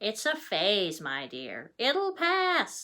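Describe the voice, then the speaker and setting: A woman's put-on character voice, fairly high, with very wide pitch swings. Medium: read story.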